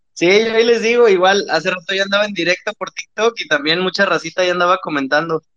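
Speaking at a very fast pace, a man uses a high pitch and a bright, sharp tone with ordinary pitch variation. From Monterrey, Mexico. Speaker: caller, streamer. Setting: phone call.

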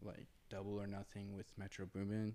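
A man speaks in a normal speaking voice with an American accent. His pitch is fairly low, and his intonation stays fairly even. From Indiana, US Midwest. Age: 20s. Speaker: clothing designer. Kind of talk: casual chat. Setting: studio.

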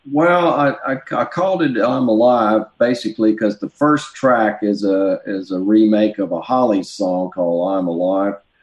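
Someone talks in a Southern US accent at a moderate pace with lively intonation. There are hardly any pauses. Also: man, fairly low pitch for a man. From US South. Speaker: musician and record producer. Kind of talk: casual interview chat.

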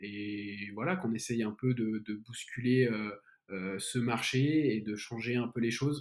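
Very slowly, a man talks at a medium pitch with ordinary pitch variation. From France, Lyon. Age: 20s. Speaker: entrepreneur. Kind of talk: casual interview.

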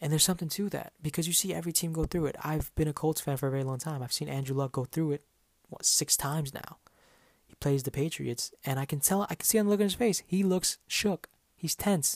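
A man speaks at a very fast pace in a fairly high voice with ordinary pitch variation. The sound is dry and close, with no echo. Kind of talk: angry sports rant, heated and profane. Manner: loud, clipped, exasperated; barks short commands and swears; rapid-fire and emphatic, sarcastic mimicry of excuses.

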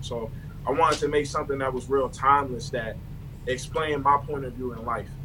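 There is audible room echo. Noticeable background noise can be heard too. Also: man. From Baltimore. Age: young. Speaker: rapper. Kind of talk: casual interview chat.

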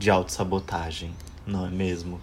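Fairly slow in pace, a man talks with intonation that stays fairly even. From Ceará, Brazil (interior, near Juazeiro do Norte), moved to São Paulo at 10. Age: 20s. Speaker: podcast guest. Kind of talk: casual chat.

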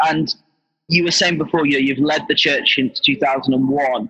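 This man's voice sits at a fairly high pitch. His tone is bright and sharp. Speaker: podcast host. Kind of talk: interview conversation. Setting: video call while on the road. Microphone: poor line quality.

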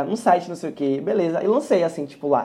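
Talking at a very fast pace, a man uses lively intonation and a dark, mellow tone. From Salvador, Bahia, Brazil. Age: 20s. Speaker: singer. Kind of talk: casual interview. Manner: casual slang-heavy.

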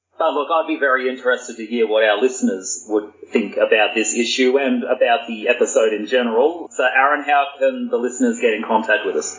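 With an Australian accent, a man speaks at a fairly quick pace with hardly any pauses. Noticeable background noise runs behind him. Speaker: podcast guest. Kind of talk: casual chat.

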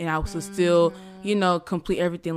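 With an American accent, a woman talks at a fairly quick pace in an unremarkable speaking voice, fairly low in pitch and with ordinary pitch variation, on a very clean recording with a silent background. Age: young (19). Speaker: podcast host, pre-med student. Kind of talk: casual chat.

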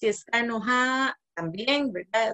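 A woman talks in a normal speaking voice with fairly high pitch and ordinary pitch variation. The sound is dry and close, with no echo. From Costa Rica, Guanacaste. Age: 30s. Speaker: social anthropologist, mother. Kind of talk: interview conversation.

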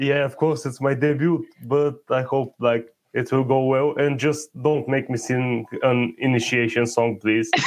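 At a fairly slow pace with hardly any pauses, a man talks at medium pitch in an Eastern European accent, his intonation fairly even. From Bulgaria. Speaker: podcast panelist. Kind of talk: live podcast chat.

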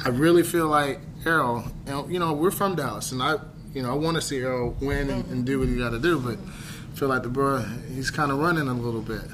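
The speaker moves at a fairly quick pace with ordinary pitch variation against noticeable background noise. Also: man, fairly high pitch for a man. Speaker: podcast host. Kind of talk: casual chat. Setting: cigar lounge. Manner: animated.

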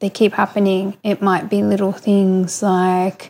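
A woman with an Australian accent speaks at a moderate pace. Her medium-pitched voice stays monotone and flat. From Australia, Coffs Harbour, New South Wales. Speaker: listener submitting a question, shop worker. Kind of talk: recorded voice question.

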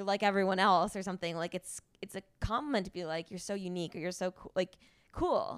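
A woman with an American accent speaks at medium pitch in an animated tone. The recording is very clean with a silent background and a dry, close sound with no echo. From US Northeast, near New York. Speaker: podcast host. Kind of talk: casual interview chat.

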